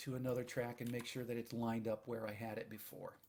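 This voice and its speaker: This is a man's voice. He is soft-spoken. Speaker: audio engineer. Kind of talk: screen-recorded tutorial narration.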